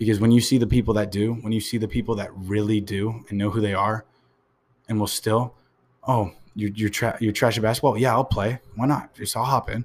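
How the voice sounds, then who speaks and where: The speaker is a man with a medium-pitched voice. He moves at a fairly quick pace. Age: 20s. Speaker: podcast host and vlogger. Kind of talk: solo motivational monologue. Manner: animated.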